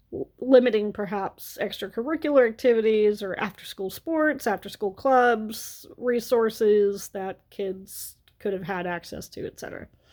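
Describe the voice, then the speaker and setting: With an American accent and an ordinary speaking voice, a woman talks at a moderate pace in a fairly high pitch, showing ordinary pitch variation and big swings in loudness with hardly any pauses. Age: 30s. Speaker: vlogger. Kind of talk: storytime rant.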